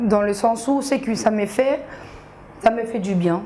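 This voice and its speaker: A woman talks with ordinary pitch variation. Noticeable background noise sits behind her. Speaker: social media comedian. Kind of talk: TV interview.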